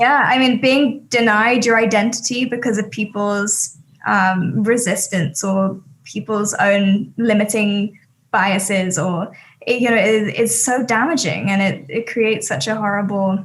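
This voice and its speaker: A woman speaks at a fairly high pitch and a fairly slow pace. Her voice is somewhat breathy, with ordinary pitch variation. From England, Sussex. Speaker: talent agency CEO. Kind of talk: casual chat.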